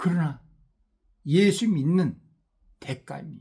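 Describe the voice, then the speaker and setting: Here a man is speaking. His intonation is lively. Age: 60s. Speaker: missionary preacher. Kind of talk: sermon.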